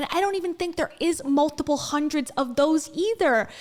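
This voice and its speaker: The voice is loud and the tone is animated. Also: woman. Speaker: commentary streamer. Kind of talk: reaction commentary.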